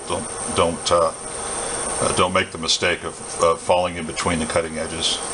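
A man talks at a low pitch and a moderate pace, with little pitch movement. Clear background noise is present.

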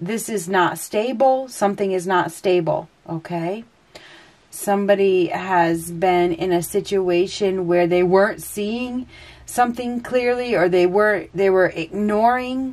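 The pitch of this woman's voice varies in an ordinary way. She talks at a fairly slow pace. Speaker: tarot reader. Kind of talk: tarot reading commentary.

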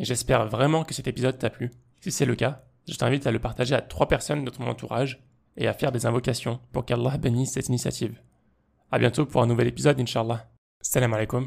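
A man's medium-pitched voice with vocal fry, fairly even intonation and a very fast pace. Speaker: podcast host. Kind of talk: interview.

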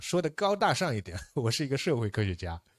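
A man's pitch swings very widely as he talks. He keeps a fairly quick pace against a quiet background. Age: young. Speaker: political science professor. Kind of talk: lecture. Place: hall.

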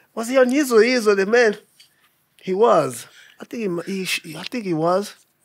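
A high-pitched man speaks in a playful tone with big swings in loudness. The background is quiet. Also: ordinary pitch variation, moderate pace. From South Africa. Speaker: podcast host. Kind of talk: casual interview chat. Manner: playful, joking. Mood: playful, relaxed. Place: studio. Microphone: studio mic.

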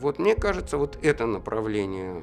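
Clear music fills the background. Over it, a man talks at a fairly slow pace. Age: 50s. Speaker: human rights activist. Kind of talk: interview answer. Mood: calm, earnest. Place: studio.

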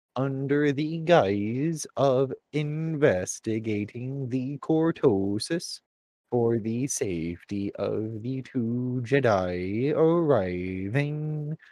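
Using a put-on character voice at medium pitch, a man talks at a very slow pace over a quiet background. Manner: formal, measured.

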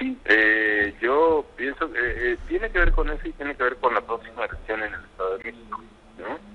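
The pace of speaking is moderate. Behind it, there is music in the background. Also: man. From Mexico. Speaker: politician. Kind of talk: phone interview. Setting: phone call. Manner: halting, many fillers. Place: office.

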